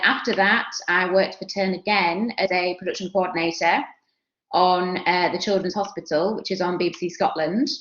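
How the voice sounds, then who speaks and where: A woman with a Yorkshire accent speaks at a medium pitch and a moderate pace, her intonation fairly even. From Yorkshire, northern England. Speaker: television production alumna. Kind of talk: career talk at online workshop. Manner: casual, chatty with fillers.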